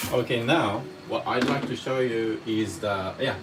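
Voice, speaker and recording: Amid music in the background and audible room echo, a man with a medium pitch and lively intonation speaks at a fairly slow pace. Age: 30s. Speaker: cooking teacher. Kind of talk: live cooking lesson. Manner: casual, chatty.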